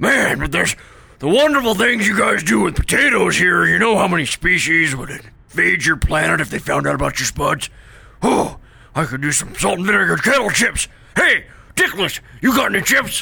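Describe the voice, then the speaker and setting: A put-on character voice is used here. It moves along at a moderate pace. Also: man, high pitch for a man. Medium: audio drama. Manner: crude, greedy, gleefully rude.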